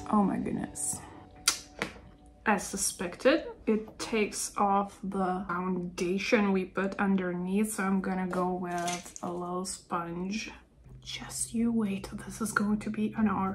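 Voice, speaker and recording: A woman with a non-native accent speaks very slowly at medium pitch, her fairly even intonation carrying a somewhat breathy quality. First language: not English. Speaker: nail polish YouTuber. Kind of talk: casual vlog chat while doing makeup.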